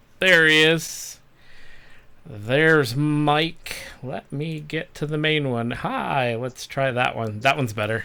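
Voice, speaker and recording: A man speaks very slowly at a fairly high pitch with ordinary pitch variation. His tone is bright and sharp. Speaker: live stream host. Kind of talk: casual live stream chat. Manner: loud.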